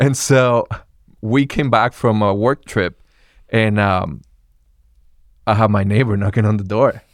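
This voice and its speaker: On a very clean recording with a silent background, a man with a Spanish accent speaks at a fairly slow pace with long, frequent pauses, his fairly low voice showing ordinary pitch variation and very even loudness. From Venezuela. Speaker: campus pastor. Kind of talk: casual chat.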